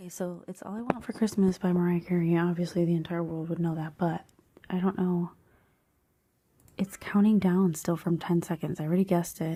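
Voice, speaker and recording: The woman's voice is quiet, fairly low and somewhat breathy, with a dark, mellow tone. She moves at a fairly quick pace in a monotone, flat delivery. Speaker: podcast host. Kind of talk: casual chat. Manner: quiet, holding back voice.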